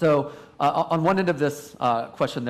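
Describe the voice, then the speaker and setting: A man does the speaking. The pitch shifts in an ordinary manner. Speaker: survey researcher, conference panelist. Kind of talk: panel presentation. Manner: fast; loud.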